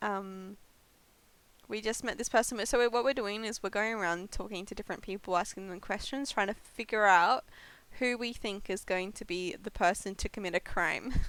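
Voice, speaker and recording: A woman with an Australian accent speaks at a medium pitch and moderate pace with fairly even intonation, on a very clean recording with a silent background. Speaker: variety streamer. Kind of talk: live game stream chat.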